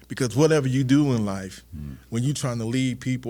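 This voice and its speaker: An American accent with ordinary pitch variation and a fairly quick pace. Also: man. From South Carolina, Charleston. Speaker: state workforce development official. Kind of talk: podcast interview.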